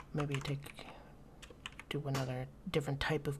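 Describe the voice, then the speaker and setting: A soft-spoken man talks at a fairly high pitch. Noticeable background noise sits behind him. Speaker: ASMR content creator. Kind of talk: let's play game commentary.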